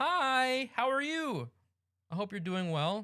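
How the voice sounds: A put-on character voice, female-sounding and fairly high in pitch, at a fairly slow pace.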